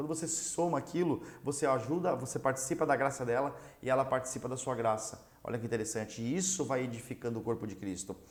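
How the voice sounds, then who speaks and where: A man's medium-pitched voice at a very fast pace, with hardly any pauses. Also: ordinary pitch variation. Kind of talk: religious teaching lesson.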